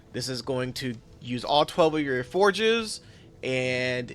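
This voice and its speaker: This man talks with ordinary pitch variation. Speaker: gaming tutorial creator. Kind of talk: tutorial. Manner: casual; fast.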